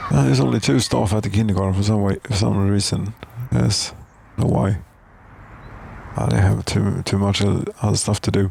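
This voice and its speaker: Amid noticeable background noise, a man mumbles fairly quickly at a fairly low pitch, with lively intonation, very even loudness and long, frequent pauses. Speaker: gaming commentator. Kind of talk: let's play commentary. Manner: mumbling; halting.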